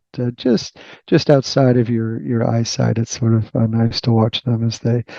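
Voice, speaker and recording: In a Boston accent, a man speaks at a medium pitch with a flat, monotone delivery. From Boston, US. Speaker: tech research executive and author. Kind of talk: podcast interview. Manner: hesitant, many fillers.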